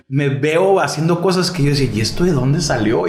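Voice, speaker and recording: This man talks fairly quickly, with audible room echo and noticeable background noise in the recording. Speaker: podcast host. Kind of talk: casual chat.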